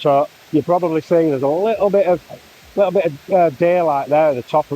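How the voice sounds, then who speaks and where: With a Yorkshire accent, a man speaks at a very fast pace in a fairly high pitch and a dark, mellow tone, his pitch variation ordinary and the sound dry and close with no echo. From Yorkshire, northern England. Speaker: landscape photographer. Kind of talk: casual vlog narration. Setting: outdoors at a waterfall. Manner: loud, shouting over water.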